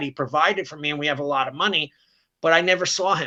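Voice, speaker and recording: A man with an American accent talks at a fairly quick pace in a fairly high pitch, his intonation fairly even. His tone is bright and sharp, over a quiet background. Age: 60s. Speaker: martial arts school owner. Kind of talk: podcast interview.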